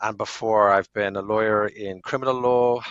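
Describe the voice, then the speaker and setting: With a Dublin accent, a man talks at a fairly slow pace in a fairly low pitch and a monotone, flat intonation. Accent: Irish (Dublin). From Ireland, Dublin. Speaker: lawyer. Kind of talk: podcast interview.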